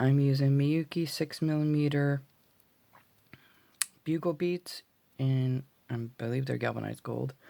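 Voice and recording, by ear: A woman speaks at a slow pace, her low voice gravelly with vocal fry and a dark, mellow tone.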